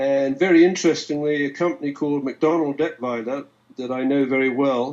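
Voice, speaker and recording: With a British accent, the speaker moves at a fairly quick pace in fairly even intonation against a quiet background. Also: man, fairly high pitch for a man. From England. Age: 70s. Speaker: forensic economist. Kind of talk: interview. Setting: live stream video call.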